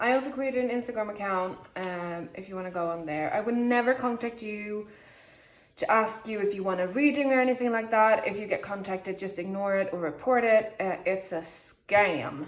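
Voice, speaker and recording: A woman with a medium-pitched voice speaks at a moderate pace with ordinary pitch variation against noticeable background noise. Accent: Swedish. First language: Swedish. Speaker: tarot reader. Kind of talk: tarot reading video, casual talk to camera. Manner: chatty, talking a lot; halting, searching for words.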